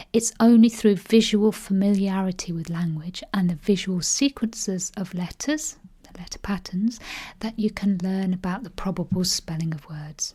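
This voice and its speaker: Her voice is somewhat breathy with a dark, mellow tone, and this woman's loudness swings widely. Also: medium pitch for a woman, ordinary pitch variation, moderate pace. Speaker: spelling teacher. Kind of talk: educational tutorial to camera.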